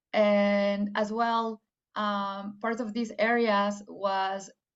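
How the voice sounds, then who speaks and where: With a Spanish accent, a woman speaks at a medium pitch. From Mexico, Guadalajara. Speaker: AI engineer. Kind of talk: career talk to students. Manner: hesitant, many fillers.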